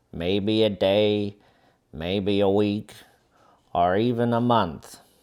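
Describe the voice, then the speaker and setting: A growling put-on character voice at a very slow pace, its intonation fairly even. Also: man, fairly low pitch for a man. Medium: read story.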